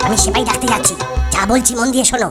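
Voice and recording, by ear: Doing a cartoonish character voice, a man speaks at an extremely high pitch and a very fast pace with a husky, rough edge, a fairly bright tone, and fairly even intonation, as faint music plays in the background.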